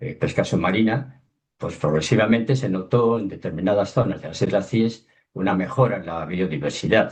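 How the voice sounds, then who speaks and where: Here is a man with a normal speaking voice and a fairly low pitch. His pitch variation is ordinary. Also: moderate pace. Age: 60s. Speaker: underwater documentary filmmaker. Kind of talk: webinar talk.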